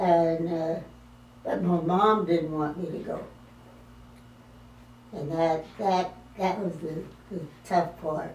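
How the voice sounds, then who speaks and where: A woman at a very slow pace, fairly low in pitch, fairly even in intonation, with long, frequent pauses. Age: 80s+. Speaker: retired army officer and WWII veteran. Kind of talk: interview answer. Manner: hesitant, halting.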